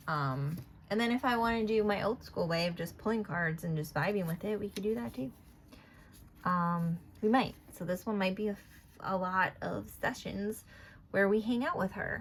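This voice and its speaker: The speaker mumbles in a somewhat breathy voice at a moderate pace, with lively intonation. Long pauses come often. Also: woman, medium pitch for a woman. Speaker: tarot and oracle card reader. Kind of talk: casual card reading tutorial. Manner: mumbling; rambling, filler-heavy.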